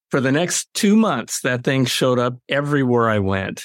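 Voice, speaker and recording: This man talks at a fairly quick pace in a medium pitch. The recording is very clean, with a silent background. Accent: Californian. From Los Angeles, US. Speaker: author. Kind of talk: interview.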